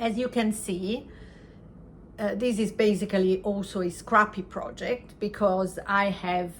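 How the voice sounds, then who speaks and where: Speaking with an Italian accent, a woman has a medium pitch and a bright, sharp tone. Her pace is very slow and her intonation fairly even. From Italy. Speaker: knitting podcaster. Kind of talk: casual chat. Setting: home crafting corner. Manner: halting.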